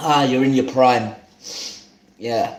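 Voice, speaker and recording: Speaking at a medium pitch, the man keeps his intonation fairly even while room echo can be heard. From London, Hackney. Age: 30s. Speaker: home cook streamer. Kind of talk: live cooking stream chat. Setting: live stream.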